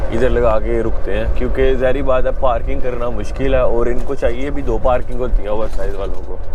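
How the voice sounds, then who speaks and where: There is noticeable background noise and audible room echo. A man talks with hardly any pauses. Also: moderate pace. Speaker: truck driver vlogger. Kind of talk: casual vlog narration.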